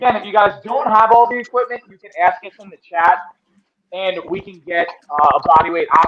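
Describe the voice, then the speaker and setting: A man with a high voice speaks fairly quickly, his volume rising and falling sharply. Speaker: fitness coach. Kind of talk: live workout instruction. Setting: live stream. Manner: loud.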